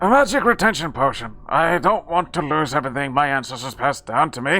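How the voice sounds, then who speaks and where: Faint music plays in the background as a man uses a put-on character voice with fairly high pitch at a fairly quick pace. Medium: game stream. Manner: defensive, grumpy.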